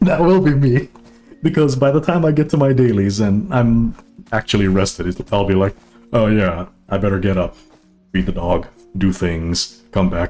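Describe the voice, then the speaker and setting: Over music in the background, a man with a fairly low pitch speaks at a moderate pace with very wide pitch swings, very even loudness, and long, frequent pauses. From Hawaii, Oahu. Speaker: gaming streamer. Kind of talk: casual live-stream chat. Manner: relaxed, blunt, crass.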